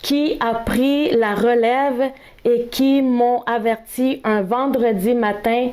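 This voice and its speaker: Heard over noticeable background noise and audible room echo, a woman with a Spanish accent speaks at a high pitch with fairly even intonation. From El Salvador. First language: Spanish (speaking French). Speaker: speaker sharing experience of workplace discrimination. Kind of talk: testimony. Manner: halting, with hesitations.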